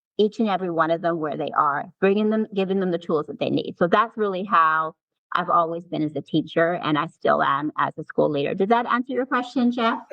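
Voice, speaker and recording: A normal speaking voice from a woman, fairly low in pitch with lively intonation, a fairly quick pace and hardly any pauses. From Canada. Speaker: assistant principal. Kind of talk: interview. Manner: repeats words, restarts phrases.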